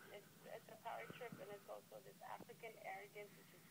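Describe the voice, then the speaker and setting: Loud background noise plays while a woman speaks at a moderate pace. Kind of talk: interview answer. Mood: critical, opinionated.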